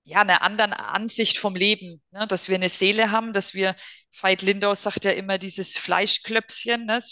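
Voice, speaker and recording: In a quiet background, a woman's voice comes through with a bright, sharp tone. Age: 40s. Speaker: psychotherapy practitioner. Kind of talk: casual interview.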